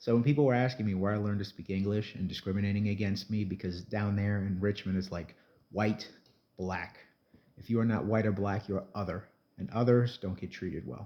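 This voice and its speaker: Speaking with a New Jersey accent, a man keeps a fairly quick pace. His pitch is fairly low and his intonation fairly even. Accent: New Jersey American English. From South Jersey, US. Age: 40s. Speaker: entertainer vlogger. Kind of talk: casual vlog monologue.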